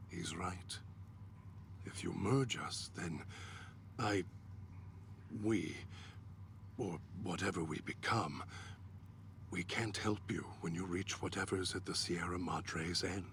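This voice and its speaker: Over clear background noise, a man in a put-on character voice speaks fairly slowly in a very deep, low pitch, with long, frequent pauses. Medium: video game. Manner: articulate, measured.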